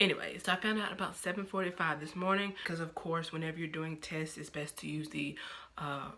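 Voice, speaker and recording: Soft-spoken at a fairly quick pace, a woman talks with fairly low pitch and fairly even intonation. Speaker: vlogger. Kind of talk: casual vlog talk. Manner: halting.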